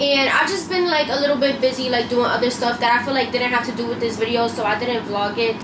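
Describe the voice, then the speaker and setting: A woman talks fairly quickly as noticeable background noise plays behind her. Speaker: beauty vlogger. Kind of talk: casual vlog chat. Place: kitchen. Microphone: camera far.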